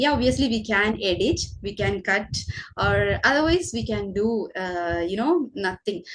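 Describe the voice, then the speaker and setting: Speaking fairly slowly with a Keralan accent, a woman at medium pitch uses very wide pitch swings and some vocal fry. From Kerala, India. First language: Malayalam. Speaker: teacher and channel host. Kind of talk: casual conversation for English learners. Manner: hesitant, many fillers.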